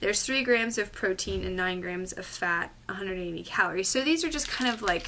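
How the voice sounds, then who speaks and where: A woman speaks at a moderate pace with medium pitch and ordinary pitch variation. Noticeable background noise runs under her voice. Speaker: health vlogger. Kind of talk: casual vlog. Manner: chatty, filler-heavy.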